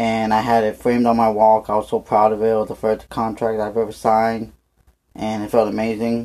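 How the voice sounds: At a moderate pace, a man speaks in a fairly low pitch with a slightly mellow tone and monotone, flat intonation.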